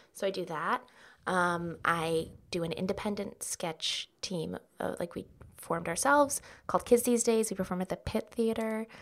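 Speaking in a normal speaking voice with an American accent, a woman at medium pitch talks at a moderate pace with ordinary pitch variation, on a very clean recording with a silent background. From Dallas, Texas. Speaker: actor and comedian. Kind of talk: casual chat.

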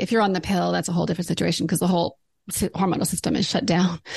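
A woman speaks with vocal fry against a quiet background. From Alberta, Canada. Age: 50s. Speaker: naturopathic doctor. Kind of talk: interview.

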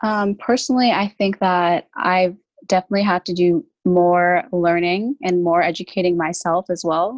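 A woman with a Canadian accent has an unremarkable speaking voice, fairly low in pitch with ordinary pitch variation. The sound is dry and close, with no echo. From Brampton, Ontario, Canada. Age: 20s. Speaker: guest, youth organization worker. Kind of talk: casual chat. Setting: video call.

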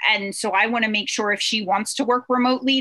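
Over noticeable background noise, a woman with an American accent talks fairly quickly in a fairly high voice with fairly even intonation. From Pennsylvania. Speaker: real estate investor. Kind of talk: interview.

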